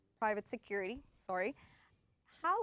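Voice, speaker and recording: The sound is close and dry, without any echo. She, a woman, talks at a moderate pace. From El Salvador. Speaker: talk show co-host. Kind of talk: panel discussion. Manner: halting.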